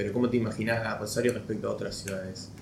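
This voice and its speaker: A man speaks with vocal fry. Audible echo comes from the room. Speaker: podcast host. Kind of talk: interview.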